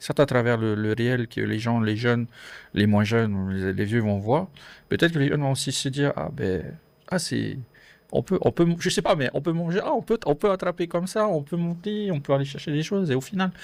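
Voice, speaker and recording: A man at a fairly high pitch and moderate pace, with very wide pitch swings, on a very clean recording with a silent background. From French Polynesia. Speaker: podcast guest. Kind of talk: casual interview chat. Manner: hesitant, many fillers.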